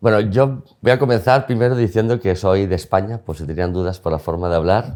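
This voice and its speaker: Recorded very cleanly against a silent background, a man talks at a fairly quick pace with a fairly low pitch and ordinary pitch variation. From Spain (León). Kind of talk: interview. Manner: fast when excited.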